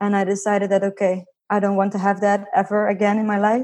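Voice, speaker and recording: A woman speaks at a moderate pace with a Dutch accent, her pitch in the medium range. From Netherlands. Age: 20s. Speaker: financial independence blogger. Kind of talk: interview.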